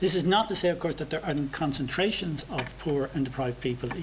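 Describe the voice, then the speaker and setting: A man talks very fast in an Irish accent with ordinary pitch variation. Noticeable background noise is present. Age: 60s. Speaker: professor. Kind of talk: seminar Q&A answer. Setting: seminar with audience. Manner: halting, many repetitions.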